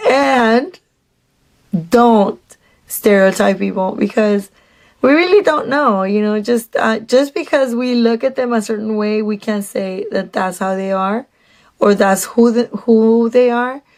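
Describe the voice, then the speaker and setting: A woman with a Mexican accent speaks in an animated tone at a fairly slow pace. Her pitch is fairly high, with ordinary variation. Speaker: vlogger. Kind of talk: storytime monologue.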